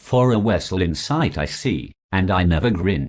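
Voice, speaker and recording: Using a put-on character voice, a man talks in a sing-song way. His pace is fairly slow. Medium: solo performance. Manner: sing-song, lamenting.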